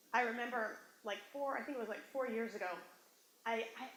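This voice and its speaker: A woman speaks in an animated tone at a fairly high pitch, with audible room echo. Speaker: motivational speaker. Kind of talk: workshop talk. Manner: fast.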